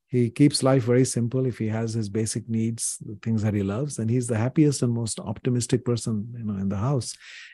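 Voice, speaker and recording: Over a quiet background, a man with a dark, mellow, somewhat breathy voice of medium pitch talks at a fairly quick pace with fairly even intonation. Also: hardly any pauses. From India. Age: 60s. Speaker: author and business professor. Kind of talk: interview.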